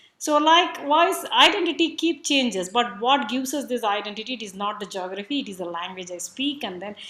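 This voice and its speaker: Bright and sharp in tone, a woman talks fairly quickly with very wide pitch swings. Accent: Tamil. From South India, Tamil. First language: Tamil. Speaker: speaker at a cultural event. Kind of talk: talk on language and identity.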